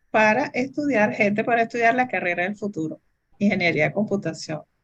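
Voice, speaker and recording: Here is a woman with a fairly high pitch. She has a plain, everyday voice. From Venezuela. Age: 60s. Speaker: computer engineer. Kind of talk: interview. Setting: video recording.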